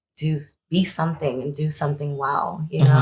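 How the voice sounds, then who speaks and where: A woman with an American accent sounds somewhat breathy. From Brooklyn, New York, with time in Trinidad and Tobago. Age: 30s. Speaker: hair colorist. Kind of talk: interview.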